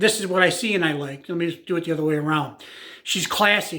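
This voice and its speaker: On a very clean recording with a silent background, a man speaks at a high pitch in a bright, sharp tone with fairly even intonation. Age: 60s. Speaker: YouTuber / music commentator. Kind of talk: casual monologue. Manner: halting, many fillers.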